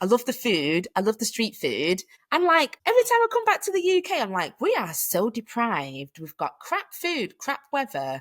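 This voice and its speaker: With a British accent, a woman speaks at a moderate pace with hardly any pauses, in a very clean recording with a silent background. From Manchester, England. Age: 30s. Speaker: hiking community founder. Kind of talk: casual interview chat. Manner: animated.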